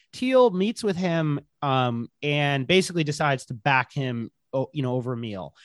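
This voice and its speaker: A man's fairly high voice at a moderate pace, with lively intonation and a dry, close sound with no echo. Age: 30s. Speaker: journalist and author. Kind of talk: interview. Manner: halting, many fillers.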